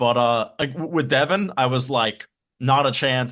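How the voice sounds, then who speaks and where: A man speaks in a plain, everyday voice. His pitch is medium and his pace moderate. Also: quiet background. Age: 20s. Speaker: podcast host. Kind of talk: casual interview chat.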